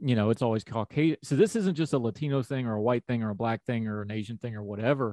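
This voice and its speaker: A man races along at a very fast pace with hardly any pauses, his dark, mellow tone showing ordinary pitch variation in a dry, close sound with no echo. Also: medium pitch for a man, quiet background. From Appalachia, West Virginia.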